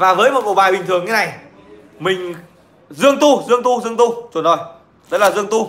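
A man's high voice at a fairly quick pace, with ordinary pitch variation and long, frequent pauses. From Nghệ An, Vietnam; Vietnam. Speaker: livestreamer telling stories. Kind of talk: casual livestream chat and storytelling. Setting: online livestream. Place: home room. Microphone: phone near.

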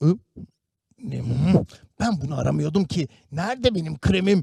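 A man's put-on character voice, rumbling yet fairly high in pitch, with lively intonation at a moderate pace. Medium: read story. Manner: stubborn, grumbling.

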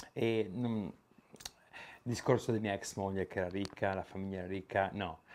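Over light background noise, a man with a fairly low pitch and fairly even intonation talks at a fairly quick pace, broken by long, frequent pauses. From Italy. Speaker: YouTuber, Italian emigrant; YouTuber. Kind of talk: vlog monologue; casual vlog chat. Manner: halting, many fillers and repetitions. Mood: relaxed, opinionated. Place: garage.

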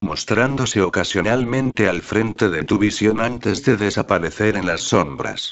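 A man with a fairly low pitch speaks fairly slowly, keeping ordinary pitch variation in an ordinary speaking voice. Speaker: narrator. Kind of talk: dramatic horror narration, first-person creepypasta read aloud. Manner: slow, suspenseful, brooding.

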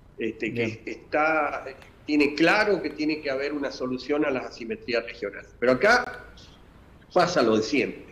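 Fairly high-pitched male voice at a moderate pace, with lively intonation. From Argentina, San Juan province. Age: 60s. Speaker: industry association leader, businessman. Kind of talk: interview. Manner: halting, frequent fillers. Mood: earnest, argumentative. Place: home room. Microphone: video call.

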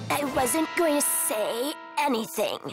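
Loud music plays in the background as a woman speaks at a fairly slow pace. She uses a put-on character voice with a high pitch.

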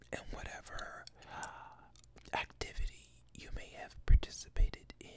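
A soft-spoken man whispering at a moderate pace, amid noticeable background noise. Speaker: vlogger. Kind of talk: casual vlog chat. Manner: soft close-mic whisper. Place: home room. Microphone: studio mic.

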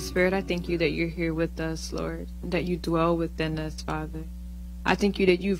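Faint music can be heard behind the speaker. She is a woman talking at a moderate pace. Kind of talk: fervent prayer of spiritual warfare; spoken prayer. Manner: earnest, intense, repeating 'Father God'. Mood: earnest, fervent. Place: church. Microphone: handheld.

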